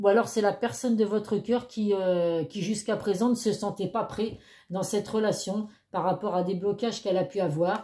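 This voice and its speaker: On a very clean recording with a silent background, a woman with a dark, mellow tone speaks at a medium pitch with fairly even intonation. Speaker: tarot card reader. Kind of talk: tarot reading monologue. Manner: fast; hesitant, many fillers.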